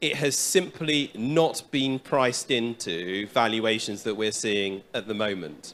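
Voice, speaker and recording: A man talks with lively intonation in a British accent. The recording is very clean, with a silent background. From London, England. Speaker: bank executive. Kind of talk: panel remarks.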